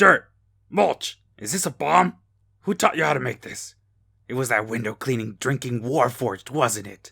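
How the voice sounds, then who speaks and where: A man puts on a gruff character voice. He keeps a medium pitch and a moderate pace. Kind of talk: theatrical voice acting.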